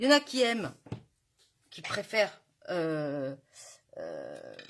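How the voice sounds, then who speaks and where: A woman at a very slow pace, with big swings in loudness. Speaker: crafting demonstrator. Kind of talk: live craft tutorial. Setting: Facebook live stream.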